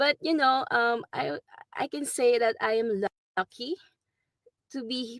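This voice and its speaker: With a Filipino accent, a woman speaks at a fairly slow pace with ordinary pitch variation, recorded in a dry, close sound with no echo. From Philippines. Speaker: nurse. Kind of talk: interview testimony. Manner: halting, many fillers.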